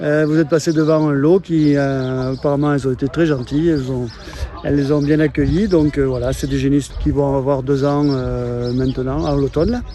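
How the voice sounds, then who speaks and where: Against noticeable background noise, a man speaks in a fairly high voice with fairly even intonation. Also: moderate pace. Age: 60s. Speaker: retired cattle farmer. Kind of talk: casual interview. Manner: halting, many hesitations.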